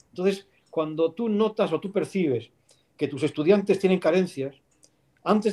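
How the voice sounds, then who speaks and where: His pitch shifts in an ordinary way. The man keeps a moderate pace. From Spain, León. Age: 50s. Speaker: philosophy professor. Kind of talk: interview.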